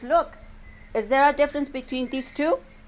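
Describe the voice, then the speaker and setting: A woman speaks in a high voice with a Spanish accent. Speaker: English teacher. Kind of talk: classroom lesson. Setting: classroom with students.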